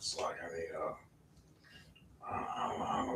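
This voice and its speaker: Audible room echo colors this man's voice. He speaks at a moderate pace. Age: 60s. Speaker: video blogger. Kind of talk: casual monologue. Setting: at home. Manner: halting.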